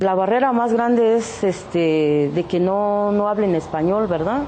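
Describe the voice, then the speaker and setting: The pace is fairly slow. Ordinary pitch variation runs through the speech. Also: woman. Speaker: artisan and entrepreneur. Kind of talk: interview testimony.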